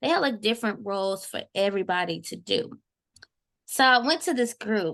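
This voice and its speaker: A woman with a normal speaking voice talks at a moderate pace, her pitch fairly high. The background is quiet. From Texas, Houston (Acres Home). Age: 20s. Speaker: university student. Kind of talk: casual podcast conversation.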